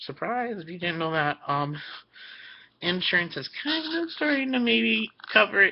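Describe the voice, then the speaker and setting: Very wide pitch swings in a man's high voice, at a moderate pace. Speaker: vlogger. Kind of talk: personal vlog. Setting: webcam recording. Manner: hesitant, many fillers.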